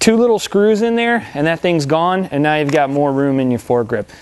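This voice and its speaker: This man has a fairly high pitch and speaks at a very fast pace. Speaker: airsoft store owner and product reviewer. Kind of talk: product review. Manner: casual, with many fillers.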